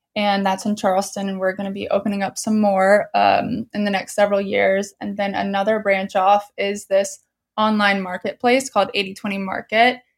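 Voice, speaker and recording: Here is a woman with a normal speaking voice, medium in pitch. She keeps a moderate pace with fairly even intonation and hardly any pauses. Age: 20s. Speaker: entrepreneur. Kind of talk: casual chat.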